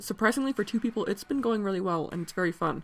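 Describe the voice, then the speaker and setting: A woman speaks with ordinary pitch variation while music plays in the background. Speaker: tabletop role-player and artist. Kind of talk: casual talk to camera. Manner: fast.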